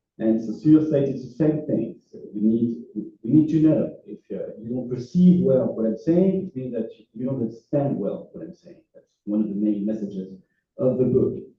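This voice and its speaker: A man with a French accent talks at a moderate pace in a medium-pitched, somewhat breathy voice, with lively intonation, big swings in loudness and audible room echo. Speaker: philosophy professor. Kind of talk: lecture. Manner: halting, many fillers.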